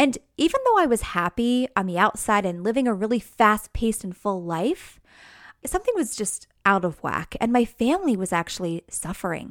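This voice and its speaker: In an American accent, a woman with a fairly high pitch talks at a moderate pace with lively intonation. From New York, near New York City. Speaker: mindfulness teacher and podcast host. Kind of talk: casual monologue.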